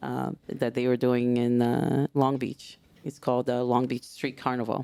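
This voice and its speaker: A woman speaks in a Portuguese accent with music in the background. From Brazil, São Gonçalo (Rio de Janeiro). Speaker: samba instructor. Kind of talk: casual interview chat. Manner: animated.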